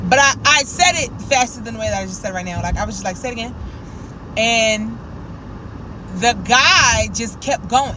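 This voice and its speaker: A woman's voice with long, frequent pauses and big swings in loudness, over noticeable background noise. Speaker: lifestyle vlogger. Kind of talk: casual vlog talk to camera. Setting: in a car. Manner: fast.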